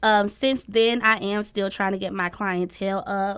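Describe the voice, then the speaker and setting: A woman with a medium pitch speaks at a fairly slow pace in a monotone, flat intonation. The recording is very clean, with a silent background. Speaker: hair and makeup artist. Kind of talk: casual chat.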